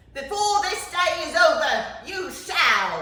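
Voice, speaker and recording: In a put-on character voice with extremely high pitch, the speaker goes at a fairly slow pace with a clear echo. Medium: read story. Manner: hearty, jovial.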